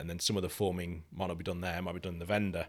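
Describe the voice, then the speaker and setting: On a very clean recording with a silent background, a man speaks in a very deep, low pitch with fairly even intonation. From Lincolnshire, England. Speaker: bicycle frame designer and company co-founder. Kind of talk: casual interview.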